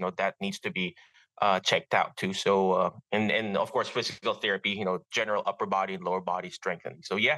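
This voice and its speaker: A man with a Filipino accent at a fairly quick pace, dry and close with no echo, over a quiet background. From Philippines. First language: Filipino language. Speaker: physical therapist. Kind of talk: interview. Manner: halting, many fillers.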